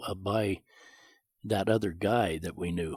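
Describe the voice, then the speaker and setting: Moderate-paced speech from a man at a fairly low pitch, with a western US accent. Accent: rural western US. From Montana, rural. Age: 70s. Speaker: rancher. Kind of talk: interview storytelling.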